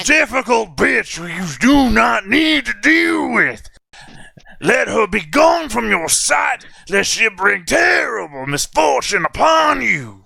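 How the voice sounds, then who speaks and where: In a put-on character voice, a man speaks fairly slowly at a high pitch, with very wide pitch swings. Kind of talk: archaic, formal. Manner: warning, dramatic.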